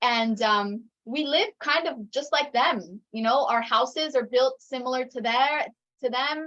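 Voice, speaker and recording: A woman with an American accent talks at a fairly slow pace, her high-pitched voice bright and sharp in tone with ordinary pitch variation. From raised in the US, Ecuadorian mother. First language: Spanish. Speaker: intentional community member. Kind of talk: casual chat.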